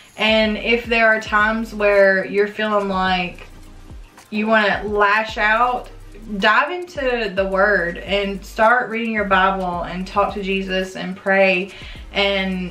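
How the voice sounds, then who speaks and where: Amid audible room echo and faint background music, a woman talks at a very slow pace with fairly even intonation. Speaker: vlogger. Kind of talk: casual vlog chat. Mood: earnest, reflective. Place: home room. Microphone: camera far.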